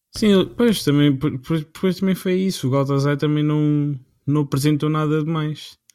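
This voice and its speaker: At a moderate pace, a man with a European Portuguese accent speaks in a fairly high pitch with ordinary pitch variation. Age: 20s. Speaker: football podcast co-host. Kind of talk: casual chat. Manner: halting.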